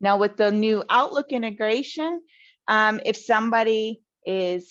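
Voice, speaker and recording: This woman has an ordinary speaking voice, pitched fairly high. Her pitch varies in an ordinary way. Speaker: customer success webinar presenter. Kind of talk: webinar presentation and Q&A. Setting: online webinar.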